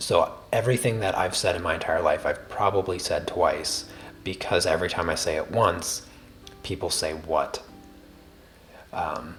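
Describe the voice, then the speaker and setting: Over music in the background, a man with an American accent talks at a moderate pace. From US Midwest, Ohio. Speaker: art tutor livestreaming drawing. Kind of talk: casual livestream chat while drawing. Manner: calming; soft-spoken.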